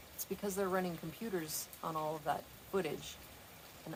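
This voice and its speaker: Through noticeable background noise, a woman talks at a fairly quick pace with fairly even intonation. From Pacific Northwest. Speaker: streamer. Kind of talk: casual livestream chat. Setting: outdoors on patio.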